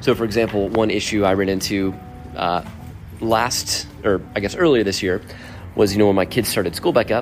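With music in the background, a man talks very fast at a fairly low pitch and with fairly even intonation. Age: 40s. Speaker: podcast host. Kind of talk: casual monologue. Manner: halting.

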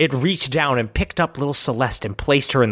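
Pitch variation here is ordinary. The reading voice is unforced.

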